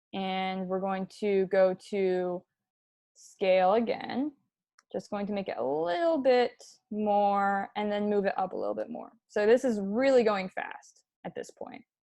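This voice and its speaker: A woman in a plain, everyday voice, fairly slow pace, medium pitch, ordinary pitch variation, and big swings in loudness. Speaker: animation tutorial instructor. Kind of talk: tutorial.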